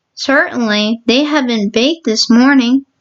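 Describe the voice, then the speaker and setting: A woman puts on a character voice pitched high. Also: moderate pace. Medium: read story. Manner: precise, earnest.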